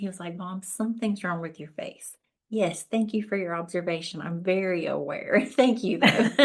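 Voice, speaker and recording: A woman talks at a moderate pace in a Southern US accent. Her pitch shows ordinary variation. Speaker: podcast host. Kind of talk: podcast interview. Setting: audio-only podcast.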